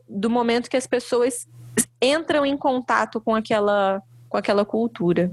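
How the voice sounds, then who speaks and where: Using a normal speaking voice, a woman talks at a fairly slow pace with ordinary pitch variation. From interior of Rio de Janeiro state, Brazil. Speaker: belly dance teacher. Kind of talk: casual chat.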